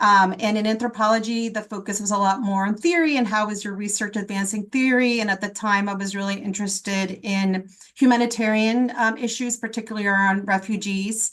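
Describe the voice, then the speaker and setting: A woman with a plain, everyday voice and an American accent talks at a fairly high pitch and fairly quick pace, with fairly even intonation and hardly any pauses. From South Florida, raised from childhood after leaving Guatemala. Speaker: public health professor. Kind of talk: webinar panel talk.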